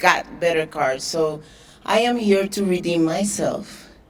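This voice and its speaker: At a very slow pace, a woman speaks in a Spanish accent with fairly even intonation and audible room echo. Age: 40s. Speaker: professional boxer. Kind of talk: press conference speech. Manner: halting.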